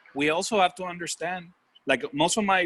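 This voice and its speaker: A man with a Puerto Rican accent, in a dry, close sound with no echo. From Puerto Rico. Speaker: bank executive. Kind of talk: casual chat.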